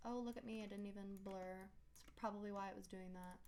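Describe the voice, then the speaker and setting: A woman speaks at a medium pitch, with audible echo in the room. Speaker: 3D modeling tutorial creator. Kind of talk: tutorial.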